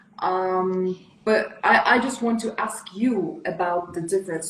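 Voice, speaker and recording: A woman with a non-native accent talks at a fairly slow pace in a medium pitch, her intonation fairly even over noticeable background noise. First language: not English. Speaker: style consultant. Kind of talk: casual chat.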